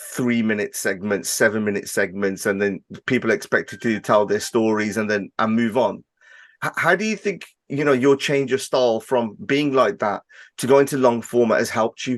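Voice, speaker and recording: A man speaks in a Birmingham accent. His pitch is medium, with ordinary variation. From Birmingham, England. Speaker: podcast host. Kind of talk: interview. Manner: fast-talking.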